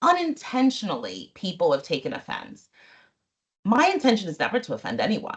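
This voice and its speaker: This woman sounds somewhat breathy. Her pitch swings very widely. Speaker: panelist. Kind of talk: panel discussion. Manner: calm and deliberate.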